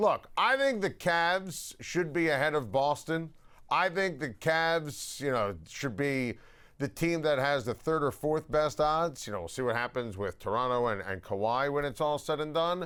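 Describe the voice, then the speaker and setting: With an American accent and a normal speaking voice, a man talks at a moderate pace in a fairly high pitch with lively intonation, on a very clean recording with a silent background. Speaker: sports talk show host. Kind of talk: loud opinionated sports talk rant. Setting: studio.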